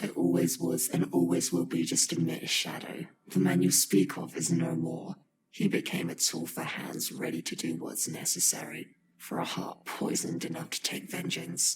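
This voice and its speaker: A man puts on a character voice. His pitch is very deep and low. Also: moderate pace, ordinary pitch variation. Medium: video game. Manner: commanding, menacing.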